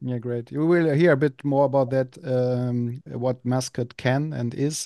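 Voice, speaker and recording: A man's dark, mellow voice with a German accent, fairly high pitch, fairly even intonation, and a fairly slow pace, in a dry, close sound with no echo. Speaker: podcast host. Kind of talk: podcast interview. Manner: halting, hesitant.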